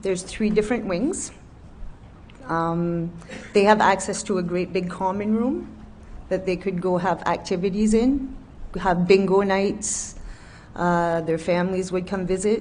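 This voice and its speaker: Over audible room echo, a woman at medium pitch speaks at a fairly slow pace with fairly even intonation and long, frequent pauses. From New Brunswick, Canada. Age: 40s. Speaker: nursing home worker, witness. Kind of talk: testimony.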